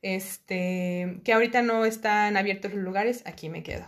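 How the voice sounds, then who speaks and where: At a moderate pace, a woman with a medium pitch and fairly even intonation has an unremarkable speaking voice. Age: 30s. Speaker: podcast guest, host's cousin. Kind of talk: casual interview chat.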